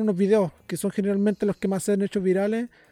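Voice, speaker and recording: A man speaks with a Chilean accent in a dark, mellow tone. The sound is dry and close, with no echo. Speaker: podcast host. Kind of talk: casual interview.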